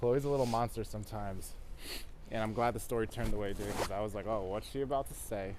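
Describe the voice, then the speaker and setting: This man talks at a very fast pace, his pitch fairly low and his intonation fairly even. Audible room echo surrounds the voice. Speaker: walking tour vlogger. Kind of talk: casual chat. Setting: outdoors.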